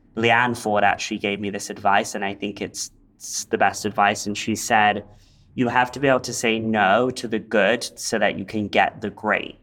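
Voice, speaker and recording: With an English accent, a man of fairly low pitch speaks in a flat monotone at a moderate pace on a very clean recording with a silent background. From England, London area. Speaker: interior designer. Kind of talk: interview, casual chat.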